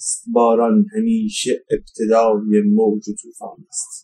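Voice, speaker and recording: A man speaks with very wide pitch swings in a dark, mellow tone. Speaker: poet. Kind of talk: personal testimony. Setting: outdoors. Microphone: poor sound quality.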